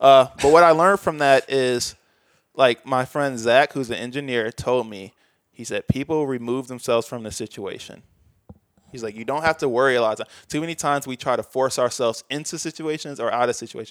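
A man with an American accent speaks in a normal speaking voice at medium pitch and a fairly quick pace, with ordinary pitch variation and big swings in loudness. The sound is dry and close with no echo, on a very clean recording with a silent background. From US Midwest, Chicago suburbs. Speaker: video editor and VFX artist. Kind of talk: casual interview chat.

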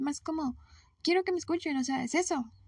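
A woman races along at a very fast pace with ordinary pitch variation, the sound dry and close with no echo. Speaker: podcast host. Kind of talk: solo monologue. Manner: spontaneous, hesitant.

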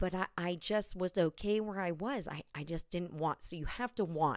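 A fairly low-pitched woman's voice with ordinary pitch variation, in a dry, close sound with no echo. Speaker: podcaster. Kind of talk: casual monologue. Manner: slow.

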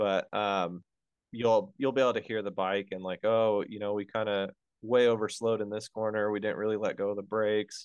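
Speaking with an American accent and a normal speaking voice, a man goes at a fairly quick pace, fairly low in pitch, with fairly even intonation. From Colorado. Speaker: motorcycle rider coach. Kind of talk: casual chat. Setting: video call.

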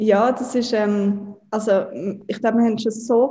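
Her tone is dark and mellow. The woman keeps a medium pitch with monotone, flat intonation. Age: 20s. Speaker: startup co-founder and marketing chief. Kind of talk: interview. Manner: hesitant with frequent fillers.

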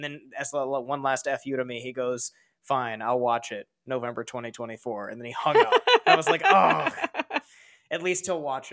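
In an unremarkable speaking voice, a man talks at a moderate pace and medium pitch, with ordinary pitch variation and big swings in loudness. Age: 20s. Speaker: streamer and YouTuber. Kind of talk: casual chat.

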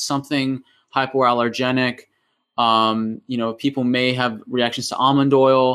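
Speaking with an American accent, a man keeps a medium pitch and a moderate pace. His intonation is fairly even, and the recording is very clean with a silent background. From US, Massachusetts (New England). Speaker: chiropractor and functional neurology practitioner. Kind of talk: interview, explaining health topics. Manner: halting, many fillers.

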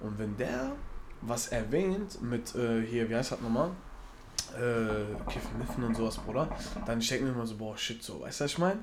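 Speaking at a moderate pace, a man sounds animated, with lively intonation, audible room echo and noticeable background noise. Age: 20s. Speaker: podcast co-host and shift worker. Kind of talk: casual chat.

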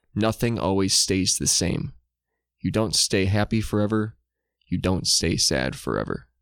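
Lively intonation marks this man's ordinary speaking voice, fairly low in pitch and very even in loudness, on a very clean recording with a silent background. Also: fairly slow pace. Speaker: podcast co-host. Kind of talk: casual chat. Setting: home studio, sitting far apart.

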